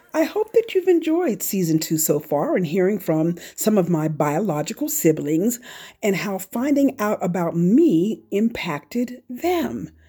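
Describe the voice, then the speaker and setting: Speaking fairly slowly, a woman has a dark, mellow, somewhat breathy tone at medium pitch with very wide pitch swings. The recording is very clean, the background silent. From US, Pittsburgh area. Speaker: podcast host. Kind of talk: interview; scripted narration.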